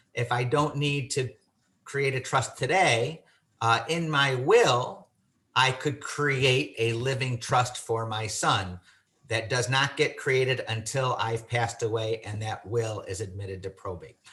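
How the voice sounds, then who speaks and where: In an American accent, a man speaks at a fairly slow pace with medium pitch, ordinary pitch variation and a bright, sharp tone. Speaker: estate planning lawyer. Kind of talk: webinar presentation.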